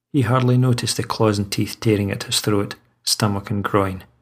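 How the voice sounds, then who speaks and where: A man's somewhat breathy, fairly low voice in a monotone, flat intonation at a moderate pace. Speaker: audiobook narrator and horror author. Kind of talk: horror story narration, read aloud.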